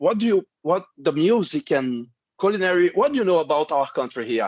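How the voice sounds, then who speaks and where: A man with a Portuguese accent, very wide pitch swings and a moderate pace, in a dry, close sound with no echo. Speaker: interviewer. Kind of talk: interview. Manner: halting.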